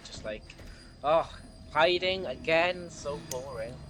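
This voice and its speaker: In a Welsh accent, a man talks with ordinary pitch variation against noticeable background noise. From Wales. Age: 20s. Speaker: gaming streamer. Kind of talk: live gameplay stream chat. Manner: animated.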